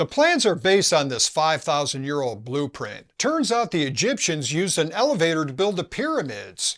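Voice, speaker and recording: A plain, everyday voice at a moderate pace with lively intonation, on a very clean recording with a silent background. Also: man. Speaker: DIY mechanic youtuber. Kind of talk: comedic scripted narration.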